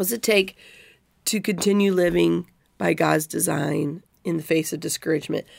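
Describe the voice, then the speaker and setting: A woman with an American accent talks at a moderate pace, stopping for long, frequent pauses. The recording is very clean with a silent background. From Missouri. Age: 40s. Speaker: Bible teacher and podcast host. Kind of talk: Bible study discussion; reading scripture aloud.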